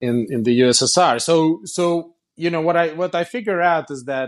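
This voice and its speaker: A man talks at a fairly slow pace with a Russian accent. His pitch varies in an ordinary way. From Russia (Kazan). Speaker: company founder and CEO. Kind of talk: interview. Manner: halting, many repetitions.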